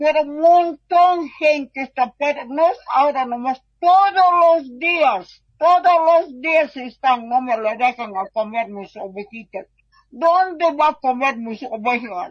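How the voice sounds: A woman speaks at a fairly slow pace. Her pitch is high. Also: ordinary pitch variation.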